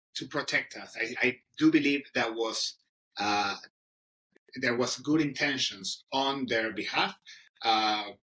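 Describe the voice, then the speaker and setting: Speaking at a very slow pace with long, frequent pauses, a man with a strong Argentine accent uses a medium pitch, a bright, sharp tone and ordinary pitch variation. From Argentina. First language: Spanish. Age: 30s. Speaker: English teacher. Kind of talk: interview. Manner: halting, many fillers.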